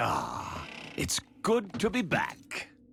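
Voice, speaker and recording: A whispered, cartoonish character voice. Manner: sly, sarcastic.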